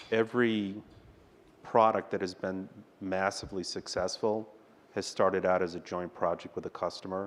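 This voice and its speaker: Soft-spoken, the voice moves at a moderate pace with monotone, flat intonation. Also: man. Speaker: technology executive, panelist. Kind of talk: panel discussion. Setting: conference stage with audience. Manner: dry, wry delivery.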